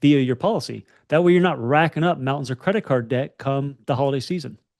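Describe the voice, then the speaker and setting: Against a quiet background with a dry, close sound and no echo, a man with a Southern accent talks at a very fast pace and fairly high pitch with ordinary pitch variation. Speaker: financial podcast co-host. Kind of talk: casual chat.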